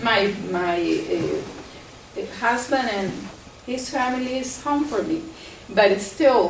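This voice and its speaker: A woman with a Salvadoran accent speaks very slowly in a high voice with very wide pitch swings, amid audible room echo and noticeable background noise. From El Salvador. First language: Spanish. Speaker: plant scientist. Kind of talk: presentation. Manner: halting.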